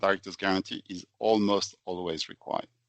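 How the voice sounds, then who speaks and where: A man with a French accent at a fairly quick pace. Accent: French, noticeable. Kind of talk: podcast presentation. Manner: structured, explanatory.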